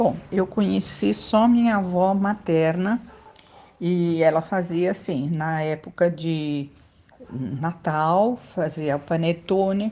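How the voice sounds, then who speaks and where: A woman with a fairly low voice speaks at a very slow pace. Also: ordinary pitch variation. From São Paulo, Mooca. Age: 70s. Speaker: local resident interviewee. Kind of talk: interview.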